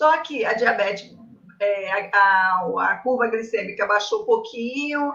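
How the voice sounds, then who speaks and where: A woman's fairly high voice, with ordinary pitch variation, comes out at a very slow pace. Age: 60s. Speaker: patient with diabetes. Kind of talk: consultation.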